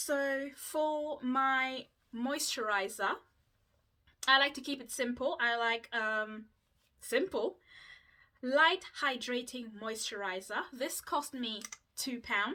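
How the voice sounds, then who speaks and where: A woman uses a raised, projected voice with a bright, sharp tone and a high pitch. She speaks at a very slow pace with ordinary pitch variation and long, frequent pauses. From Mauritius. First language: Mauritian Creole. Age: 20s. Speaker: YouTuber. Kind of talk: casual vlog chat.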